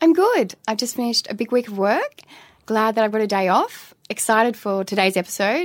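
Fairly quick speech with an Australian accent and ordinary pitch variation. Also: woman, fairly high pitch for a woman. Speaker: doctor and podcast co-host. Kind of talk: casual chat.

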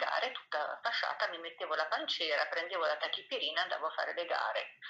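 Here a woman talks at a fairly quick pace. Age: 50s. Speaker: amateur dancer and author. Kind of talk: interview testimony. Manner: halting.

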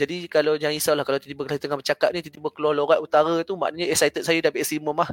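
A man with a Malaysian accent talks at a very fast pace and fairly high pitch, in a dry, close sound with no echo. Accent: Malaysian Malay. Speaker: Islamic teacher (ustaz). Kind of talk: religious discussion on a podcast livestream. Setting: online livestream call.

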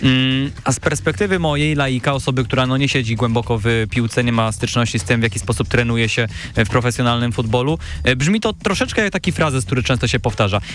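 Amid noticeable background noise, a man talks very fast with lively intonation and very even loudness. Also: medium pitch for a man. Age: 20s. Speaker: student radio host. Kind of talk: radio interview. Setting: radio studio.

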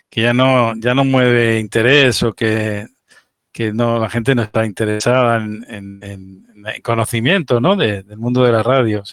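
Ordinary pitch variation at a fairly slow pace. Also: man. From Spain, island. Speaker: ham radio net host. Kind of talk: casual interview. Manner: halting, many fillers.

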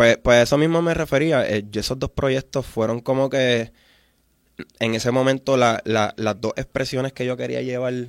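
A man speaks with a Puerto Rican accent at a medium pitch. His moderate pace comes through in a dry, close sound with no echo. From Puerto Rico, Vieques and Fajardo. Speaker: musician. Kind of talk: interview.

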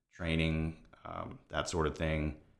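A man's very deep, low voice with an American accent, in a very clean recording with a silent background. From Florida, Tampa Bay area. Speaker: real estate agent. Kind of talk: casual interview. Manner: hesitant, many fillers.

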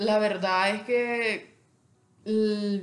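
Here a woman speaks with fairly even intonation. Room echo is audible. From El Salvador. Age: 20s. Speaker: psychologist and entrepreneur. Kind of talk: interview.

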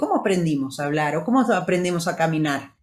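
This woman's voice is somewhat breathy and moves through very wide pitch swings. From Brazil. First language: Portuguese (speaking Spanish). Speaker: podcast co-host, wellness coach. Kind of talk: motivational talk.

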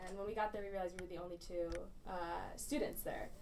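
Over noticeable background noise and audible room echo, a woman with an American accent talks at a very fast pace. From Michigan, Grand Blanc. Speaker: recent graduate and student activist. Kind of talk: casual interview.

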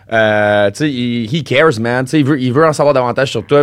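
Speaking with a Quebec accent, a man keeps a medium pitch and fairly even intonation. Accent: Québécois French. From Quebec City area (Val-Bélair). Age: 30s. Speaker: comedian. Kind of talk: casual chat.

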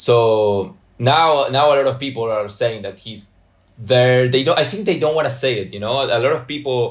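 Here a man speaks with an Argentine accent. His pitch is medium and his pace moderate. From Argentina, Buenos Aires. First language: Spanish. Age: 20s. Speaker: graphic designer.

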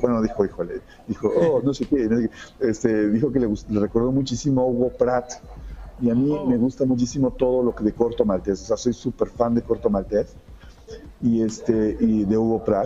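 A man speaks at a medium pitch and a moderate pace. His intonation is fairly even, and there is noticeable background noise. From Mexico. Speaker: comic artist. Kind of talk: interview. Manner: hesitant, many fillers.

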